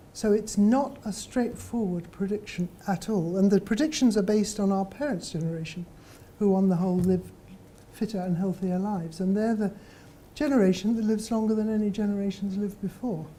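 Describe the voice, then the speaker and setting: A woman's medium-pitched voice is somewhat breathy and dark and mellow in tone, with ordinary pitch variation. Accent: British. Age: 70s. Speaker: professor. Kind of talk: lecture. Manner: hesitant fillers, conversational.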